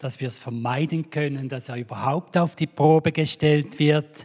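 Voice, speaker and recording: A man with a Swiss accent and fairly even intonation. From Switzerland. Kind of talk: sermon.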